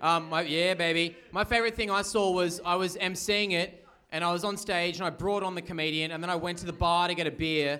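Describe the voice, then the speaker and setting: A man's high-pitched, bright and sharp voice, monotone and flat, at a fairly quick pace with hardly any pauses. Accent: Australian. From Australia, Newcastle. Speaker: comedian. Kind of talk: live podcast chat. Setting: stage with audience.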